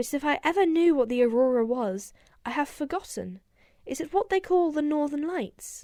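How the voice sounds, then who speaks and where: A shaky, put-on character voice swings very widely in pitch while keeping a moderate pace. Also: woman, high pitch for a woman. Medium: read story. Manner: hesitant, apologetic.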